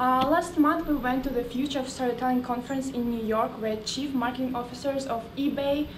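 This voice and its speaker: With a Russian accent and a high pitch, a woman talks at a fairly quick pace, with hardly any pauses and fairly even intonation. Noticeable background noise and audible room echo fill the recording. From Russia, Moscow. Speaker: startup founder. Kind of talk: sales pitch.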